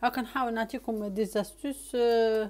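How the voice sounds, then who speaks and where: This woman's voice has a dark, mellow tone. Her pitch sits fairly high. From Tunisia. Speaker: cooking video host. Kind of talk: cooking tutorial. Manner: casual, chatty.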